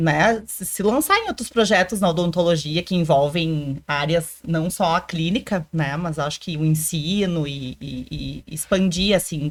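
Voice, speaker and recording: A woman with a fairly low pitch talks with ordinary pitch variation on a very clean recording with a silent background. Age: 30s. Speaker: military dentist. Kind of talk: interview. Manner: halting.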